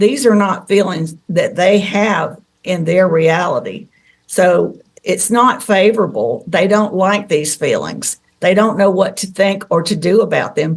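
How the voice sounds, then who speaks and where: A woman speaks with a Southern US accent. Her pitch rises and falls in an ordinary way. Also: medium pitch for a woman, fairly slow pace. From Tennessee. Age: 60s. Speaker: contactee. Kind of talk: interview.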